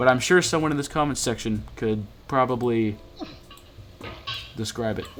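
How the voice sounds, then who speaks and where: A man at medium pitch with ordinary pitch variation, a moderate pace, and long, frequent pauses, over noticeable background noise. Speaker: gaming streamer. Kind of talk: gameplay commentary.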